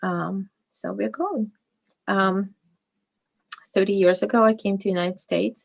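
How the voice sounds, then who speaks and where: A woman with a Russian accent speaks with long, frequent pauses. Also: moderate pace. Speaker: fashion designer and business owner. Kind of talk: interview. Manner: halting, many fillers.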